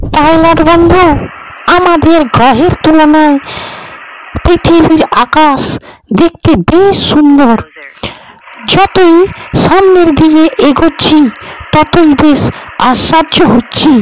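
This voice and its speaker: A cartoonish character voice, high-pitched, at a fairly slow pace. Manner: wondering, friendly.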